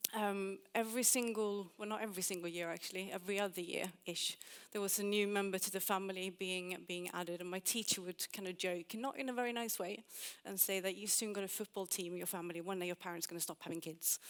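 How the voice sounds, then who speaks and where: A woman at a very fast pace, with a slight Swedish accent. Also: medium pitch for a woman, fairly even intonation. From Sweden. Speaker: UX designer and conference speaker. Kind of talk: conference talk.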